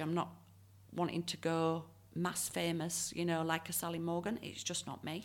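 A woman with a Yorkshire accent, fairly low-pitched, at a moderate pace on a very clean recording with a silent background. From northern England, Leeds. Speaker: tarot reader and medium. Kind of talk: interview.

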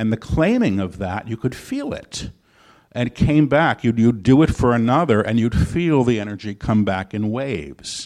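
A man's plain, everyday voice at a medium pitch and moderate pace, against a quiet background. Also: lively intonation. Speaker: channeler and author. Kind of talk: live interview with channeled teachings. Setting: stage with live audience.

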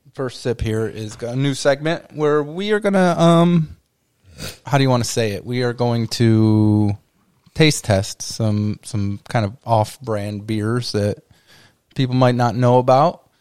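A man speaks in a plain, everyday voice at medium pitch. His intonation is lively and his pace fairly slow. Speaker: podcast host. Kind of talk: casual chat.

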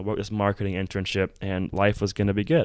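On a very clean recording with a silent background, a man with an American accent and a fairly low voice talks very fast. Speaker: podcast host, entrepreneur. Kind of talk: personal storytelling monologue. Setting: hotel room, on camera. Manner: animated.

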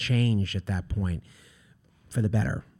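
A man with an American accent speaks at a moderate pace in a dark, mellow, somewhat breathy tone, his pitch fairly low with ordinary variation. The recording is very clean, with a silent background. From Long Island, New York. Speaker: historian. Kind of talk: interview.

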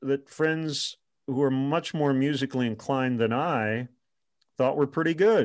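A man's fairly high-pitched, plain, everyday voice with an American accent, at a fairly slow pace, on a very clean recording with a silent background. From Michigan, US Midwest. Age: 50s. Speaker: baseball radio play-by-play announcer. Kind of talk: interview.

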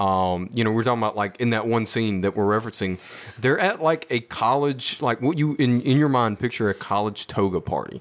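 A man talks in a normal speaking voice at a medium pitch and a fairly quick pace, with ordinary pitch variation. His loudness stays very even, and the recording is very clean with a silent background. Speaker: tech support for the show. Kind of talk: casual chat.

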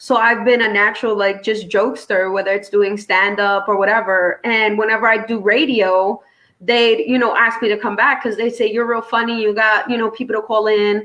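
Over noticeable background noise, a woman with a New York accent speaks at a moderate pace, her fairly high pitch held in a monotone, flat intonation and very even loudness. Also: hardly any pauses. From New York City, Brooklyn. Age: 30s. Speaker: comedian and former radio host. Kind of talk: casual interview chat.

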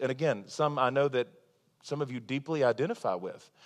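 Against a quiet background, a man with a plain, everyday voice talks at a medium pitch and moderate pace with ordinary pitch variation. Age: 30s. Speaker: pastor. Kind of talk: sermon. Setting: church.

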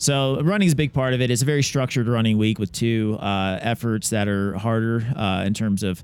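At a moderate pace, this is a normal speaking voice with an American accent. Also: man. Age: 40s. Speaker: obstacle racer and chiropractor. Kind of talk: interview. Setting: recorded at a media event.

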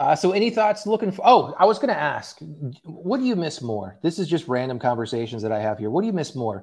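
With an American accent, a man talks very fast in a fairly high pitch. His voice has vocal fry and very wide pitch swings. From Oklahoma (Tulsa). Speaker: sports podcast host. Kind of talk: casual chat.

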